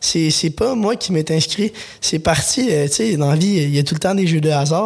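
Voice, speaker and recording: This man's voice is pitched high. Its pitch variation is ordinary. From Quebec, Lanaudière. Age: 20s. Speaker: vegetable farmer. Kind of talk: interview. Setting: studio. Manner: halting.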